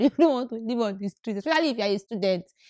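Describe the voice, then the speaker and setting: Over music in the background, a woman talks at a very fast pace with a fairly high pitch and lively intonation, the sound dry and close with no echo. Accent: Nigerian. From Nigeria. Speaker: graduate student. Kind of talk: casual talk to camera.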